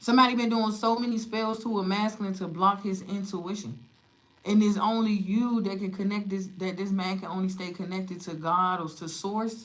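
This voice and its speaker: A woman speaks at a moderate pace in a medium pitch, with audible room echo around her voice. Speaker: tarot reader. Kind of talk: tarot reading livestream. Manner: loud; animated.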